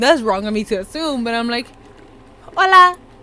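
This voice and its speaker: Over noticeable background noise, a woman speaks at a fairly quick pace in a high-pitched voice. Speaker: podcast co-host. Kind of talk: casual chat.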